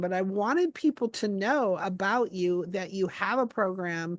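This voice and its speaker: Against a quiet background, a woman speaks in a normal speaking voice at a medium pitch with ordinary pitch variation, the sound dry and close with no echo. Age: 60s. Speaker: interview host. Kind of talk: interview.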